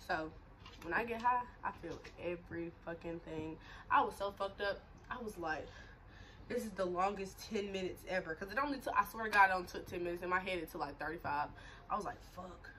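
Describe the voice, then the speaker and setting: Animated in tone, a woman at a medium pitch speaks at a fairly quick pace with ordinary pitch variation over light background noise. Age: 20s. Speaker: YouTuber. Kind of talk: casual vlog chat. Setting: at home on camera. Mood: candid, animated storytelling. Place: home room. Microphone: phone near.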